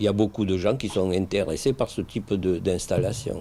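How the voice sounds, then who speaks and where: His pitch is fairly low and his tone dark and mellow. The man keeps a moderate pace with fairly even intonation. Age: 60s. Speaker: winegrower. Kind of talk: interview. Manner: halting.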